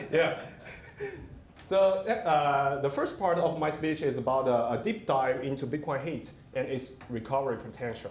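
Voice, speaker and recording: A man with a Chinese accent speaks at a moderate pace, his pitch fairly high with ordinary variation. Audible room echo and noticeable background noise surround his voice. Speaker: company CEO. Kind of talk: conference presentation. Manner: halting, many fillers.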